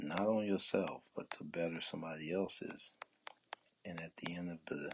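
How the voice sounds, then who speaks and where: The speaker keeps a relaxed tone and fairly even intonation at a moderate pace. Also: man, very deep, low pitch for a man. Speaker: painting livestreamer, artist. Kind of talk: live painting tutorial, casual chat. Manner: soft-spoken, not talking loud; relaxed, conversational.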